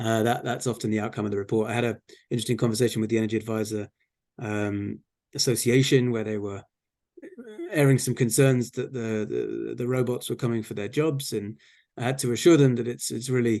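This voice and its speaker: The speaker, with an English accent, talks at a fairly quick pace in a dark, mellow tone with fairly even intonation. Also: man, medium pitch for a man. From England. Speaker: regional energy and climate official. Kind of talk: Q&A at an online community talk. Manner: hesitant, repeats words.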